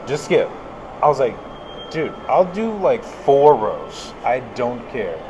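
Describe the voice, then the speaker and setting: A man speaks at a very slow pace. Noticeable background noise runs behind him. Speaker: podcast host. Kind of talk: casual chat. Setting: live at a conference. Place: hall.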